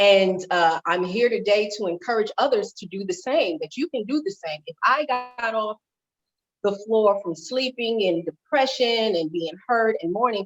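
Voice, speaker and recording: A woman with a plain, everyday voice speaks at a medium pitch and moderate pace. Her intonation is lively, and the sound is dry and close with no echo. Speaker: life and wellness coach, motivational speaker. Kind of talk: interview.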